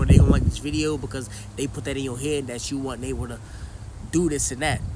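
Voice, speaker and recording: Audible room echo and noticeable background noise surround a man speaking at a very fast pace. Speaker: YouTuber and rapper. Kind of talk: casual vlog monologue.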